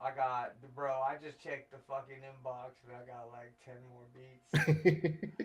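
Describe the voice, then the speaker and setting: A man with a medium pitch speaks at a fairly slow pace with hardly any pauses. His loudness swings a lot. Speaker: beat battle show host. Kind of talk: casual live stream judging chat. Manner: animated, loud.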